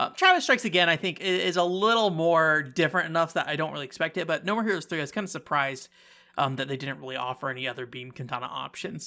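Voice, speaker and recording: Very fast and lively in intonation, a man with a fairly high pitch and a bright, sharp tone is heard in a very clean recording with a silent background. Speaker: game reviewer. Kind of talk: casual commentary.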